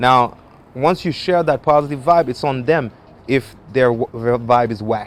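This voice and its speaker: Here a man talks with a French accent. His pitch variation is ordinary. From French-speaking Africa. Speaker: musician. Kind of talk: interview.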